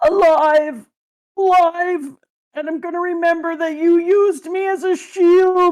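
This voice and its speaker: The delivery comes in a put-on character voice, moving at a fairly slow pace. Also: woman, extremely high pitch for a woman. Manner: exaggerated, comedic.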